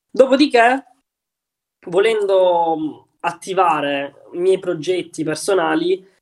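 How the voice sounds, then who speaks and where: A man with lively intonation. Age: 20s. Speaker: young entrepreneur and crypto investor. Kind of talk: podcast interview.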